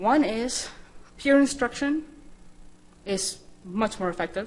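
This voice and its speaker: With a Spanish accent, a woman speaks with ordinary pitch variation. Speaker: scientist and programming instructor. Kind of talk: conference talk.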